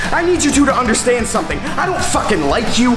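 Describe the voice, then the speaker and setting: A man speaks at a fairly quick pace over clear background music. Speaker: pro wrestler. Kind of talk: wrestling promo, aggressive and confrontational. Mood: aggressive, taunting. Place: gym.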